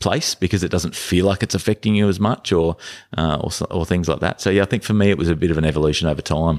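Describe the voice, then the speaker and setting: A man with an Australian accent speaks in a very deep, low voice and fairly even intonation. The sound is dry and close with no echo, on a very clean recording with a silent background. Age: 40s. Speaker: podcast guest, father of three. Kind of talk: casual interview chat. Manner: halting, many repetitions and fillers.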